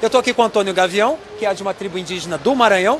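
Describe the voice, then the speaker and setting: Noticeable background noise fills the clip. Over it, a man talks. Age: 30s. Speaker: field reporter. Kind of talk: live field report. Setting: outdoors.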